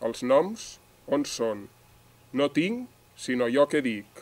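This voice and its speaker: A man's fairly high voice at a very slow pace. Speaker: poet. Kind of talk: poetry reading. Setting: outdoors.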